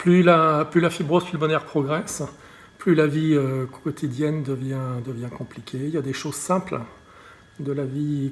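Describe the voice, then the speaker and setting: Speaking at a moderate pace, a man with a fairly high pitch sounds somewhat breathy, and his intonation stays fairly even. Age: 60s. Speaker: patient advocate. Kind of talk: testimony. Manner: halting, many repetitions and fillers.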